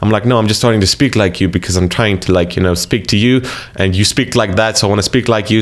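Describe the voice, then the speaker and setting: With noticeable background noise behind him, a man with a slight American accent and a fairly low pitch talks very fast, keeping his intonation fairly even and his loudness very even. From South Africa. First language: Afrikaans. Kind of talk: casual talk to camera.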